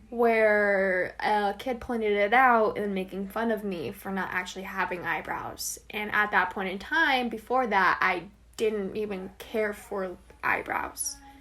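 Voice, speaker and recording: At a fairly slow pace, a woman with an American accent speaks in a medium pitch with fairly even intonation. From Arizona, US (Flagstaff). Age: 18. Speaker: college student. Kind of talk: interview.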